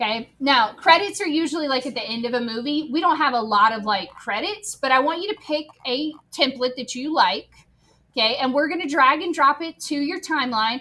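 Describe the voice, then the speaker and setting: Bright and sharp in tone, a woman projects a raised voice at a high pitch, talking at a fairly quick pace with lively intonation. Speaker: teacher. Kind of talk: classroom tutorial. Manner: casual, conversational.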